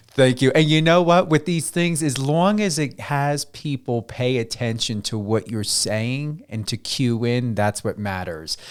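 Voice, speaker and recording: This is a normal speaking voice from a man at a medium pitch. He talks at a fairly slow pace with lively intonation and hardly any pauses. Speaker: radio host. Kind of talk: radio interview hosting.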